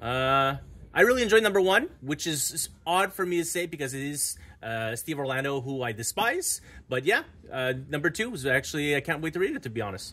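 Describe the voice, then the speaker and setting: A man's fairly high, bright, sharp voice with lively intonation at a fairly quick pace. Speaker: comic book store owner. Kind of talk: casual chat. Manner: fast.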